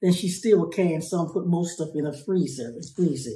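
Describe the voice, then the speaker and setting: A woman speaks in a fairly low, dark, mellow tone that is somewhat breathy. Her pitch varies in an ordinary way, and room echo is audible. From rural farm upbringing. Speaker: family caregiver. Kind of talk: interview answer. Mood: warm, relaxed reminiscing. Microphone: phone near.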